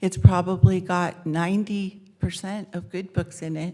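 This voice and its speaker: A woman of medium pitch talks in a normal speaking voice at a moderate pace, with ordinary pitch variation. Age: 60s. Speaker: public commenter. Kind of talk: public comment. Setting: city council meeting.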